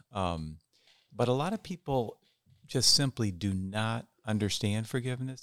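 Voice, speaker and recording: A man talks at a moderate pace with a fairly low pitch, in a plain, everyday voice. The recording is very clean, with a silent background. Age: 60s. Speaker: retired pastor and counselor. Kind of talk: reflective interview talk.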